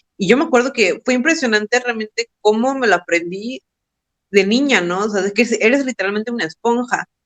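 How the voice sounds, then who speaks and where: Her pitch fairly high and varying in an ordinary way, a woman talks at a fairly quick pace in a dry, close sound with no echo. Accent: Mexican. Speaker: podcast co-host. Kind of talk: casual chat. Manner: halting.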